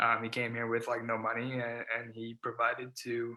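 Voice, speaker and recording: Bright and sharp in tone, a man with an American accent and medium pitch speaks at a fairly quick pace. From California (Silicon Valley). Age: 20s. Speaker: stuttering advocate, nonprofit founder. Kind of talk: interview.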